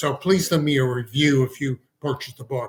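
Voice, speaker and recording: Fairly high in pitch, a man speaks with an American accent. His intonation is monotone and flat. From Texas. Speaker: physician and author. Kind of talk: podcast interview.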